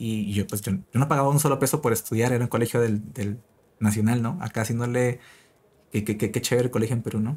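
Somewhat breathy, the man's voice rushes along at a very fast pace. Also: very clean recording, silent background. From Peru. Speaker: frontend developer and online educator. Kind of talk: interview. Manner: halting, many repeated words.

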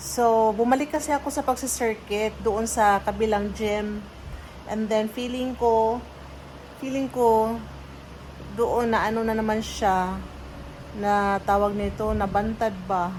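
A fairly high-pitched woman at a very slow pace, with fairly even intonation. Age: 30s. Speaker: vlogger. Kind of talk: casual vlog chat. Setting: in a car.

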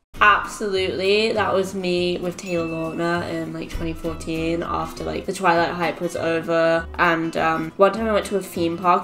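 Faint music sits in the background as a woman talks with fairly even intonation. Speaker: online creator. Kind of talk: casual vlog chat. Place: home room.

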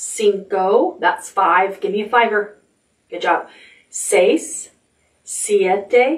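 An unforced reading voice set against quiet surroundings

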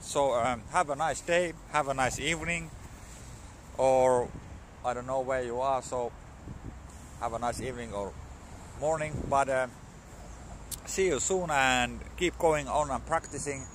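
A man with a Finnish accent at a fairly slow pace, fairly even intonation, long and frequent pauses, a dry sound with no echo, and light background noise. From Finland. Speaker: vlogger learning English. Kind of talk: casual vlog monologue. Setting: outdoors at a dog park. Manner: halting, many fillers and repetitions. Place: street. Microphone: phone near.

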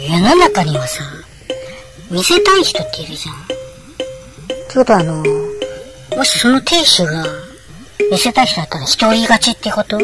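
Clear music plays behind a man who talks at a moderate pace in a high pitch. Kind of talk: casual gossip radio chat. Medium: solo performance. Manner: chatty, giggling, frank and informal.

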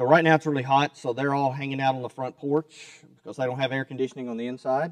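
Fairly quick speech comes from a man in a dry sound with no echo. The background is quiet. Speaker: preacher. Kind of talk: sermon. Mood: relaxed, light humor. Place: church. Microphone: podium.

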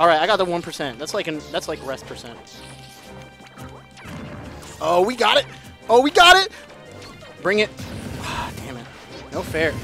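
Over music in the background, a man talks at a fairly quick pace with big swings in loudness, the sound dry with no echo. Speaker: player commentating own match. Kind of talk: commentary. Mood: playful trash talk. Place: hall.

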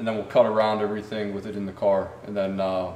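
There is audible room echo and light background noise as a man talks at a fairly quick pace. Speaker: car restoration channel host. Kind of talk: tutorial. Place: garage.

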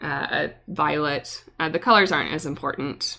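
A woman with an American accent speaks at a fairly slow pace in a very deep, low pitch with vocal fry. Her tone is bright and sharp. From US West Coast. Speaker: watercolor artist and YouTuber. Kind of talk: live stream painting tutorial.

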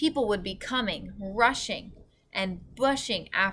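Ordinary pitch variation marks this unforced reading voice.

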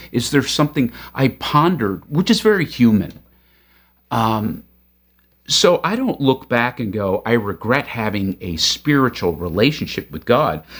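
With an American accent, a man talks at a fairly slow pace, his pitch swinging very widely. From upstate New York. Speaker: podcast host. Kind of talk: casual interview. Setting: home basement studio. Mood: reflective, earnest. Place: studio.

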